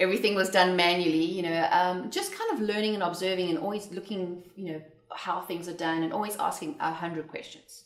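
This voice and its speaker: A woman with a South African accent, medium pitch and fairly even intonation, fairly quick with hardly any pauses, against noticeable background noise and audible room echo. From South Africa, Johannesburg. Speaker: entrepreneur. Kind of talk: interview.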